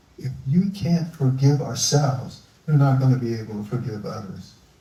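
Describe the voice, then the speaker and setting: A man with an American accent, audible room echo around him. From US Northeast, Philadelphia. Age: 70s. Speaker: environmentalist. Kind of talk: live onstage interview.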